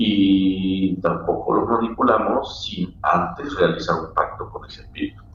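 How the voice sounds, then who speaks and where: A man's speech carries audible room echo amid noticeable background noise. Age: 60s. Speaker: spiritual practitioner and teacher. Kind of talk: casual chat.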